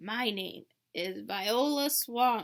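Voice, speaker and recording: A woman puts on a raspy character voice at a fairly high pitch. Her pitch variation is ordinary. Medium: read story. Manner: harsh, commanding.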